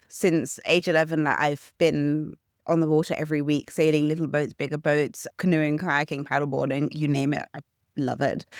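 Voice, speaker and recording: A woman speaks with a British accent at a very deep, low pitch. The recording is very clean, with a silent background. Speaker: superyacht nanny. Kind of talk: interview.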